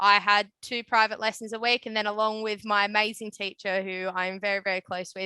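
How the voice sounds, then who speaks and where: Recorded dry and close without echo, a woman with an Australian accent speaks in a fairly high, bright, sharp voice with monotone, flat intonation. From Australia, Newcastle area NSW. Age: 20s. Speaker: electrician. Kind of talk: webinar interview. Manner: casual with many fillers.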